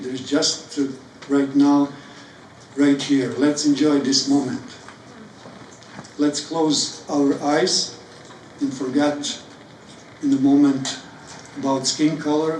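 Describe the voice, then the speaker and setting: With a Serbian accent, the speaker goes at a very slow pace in a monotone, flat intonation, with long, frequent pauses, audible room echo and noticeable background noise. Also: man, fairly high pitch for a man. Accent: non-native, Serbian. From Croatia (Serbian). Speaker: poet. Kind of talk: spoken word talk. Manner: halting.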